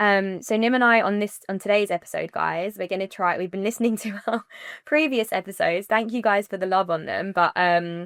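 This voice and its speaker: A woman with a British accent at a fairly quick pace, dry and close with no echo, on a very clean recording with a silent background. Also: medium pitch for a woman, ordinary pitch variation. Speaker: wedding planner and podcast co-host. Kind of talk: casual chat. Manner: fast; animated.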